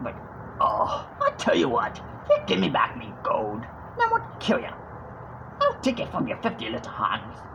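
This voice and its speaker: This raspy, put-on character voice moves at a moderate pace over clear background noise. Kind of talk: casual talk to camera. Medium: tutorial demo. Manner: aggressive.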